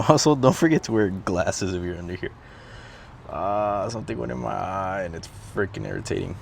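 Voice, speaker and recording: A man speaks quietly in a fairly low voice with a relaxed tone at a fairly quick pace. Background noise is noticeable. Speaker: DIY car repair vlogger. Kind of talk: tutorial. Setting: outdoors. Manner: quiet, relaxed.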